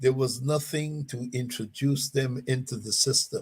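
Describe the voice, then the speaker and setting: Somewhat breathy, a man with a fairly high pitch speaks at a very slow pace. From Panama. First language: Spanish. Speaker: educator, artist and poet. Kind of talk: talk radio discussion. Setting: live stream show. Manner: repetitive with frequent stammered restarts.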